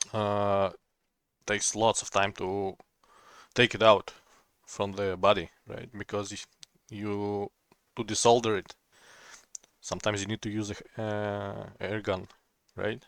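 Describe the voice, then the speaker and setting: In a dry, close recording with no echo, a man with a non-native accent speaks at a fairly slow pace in a fairly low, monotone, flat voice, with big swings in loudness and long, frequent pauses. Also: very clean recording, silent background. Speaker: laptop repair technician. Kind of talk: casual tutorial talk to camera.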